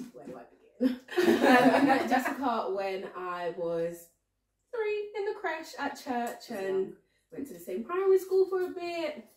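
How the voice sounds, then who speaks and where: A woman speaks at a high pitch with very wide pitch swings. Her loudness rises and falls in big swings. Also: fairly slow pace. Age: 20s. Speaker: friend of host. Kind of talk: casual chat.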